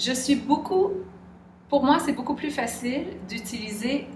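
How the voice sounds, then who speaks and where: Speaking at a fairly slow pace with ordinary pitch variation, this voice carries a Quebec accent over noticeable background noise and audible room echo. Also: woman. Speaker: interviewee. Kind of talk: interview. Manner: hesitant.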